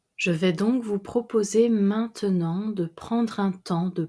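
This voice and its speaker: A woman's somewhat breathy, dark, mellow voice in a calm, soothing tone at a very slow pace, in a very clean recording with a silent background. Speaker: meditation guide. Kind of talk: guided meditation. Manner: slow, calm, soothing; gentle, measured, with long pauses.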